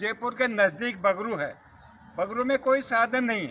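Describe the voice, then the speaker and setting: A man speaks in a high voice for his sex, with ordinary pitch variation. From Bagru, Rajasthan. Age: 80s+. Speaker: local resident. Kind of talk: street interview.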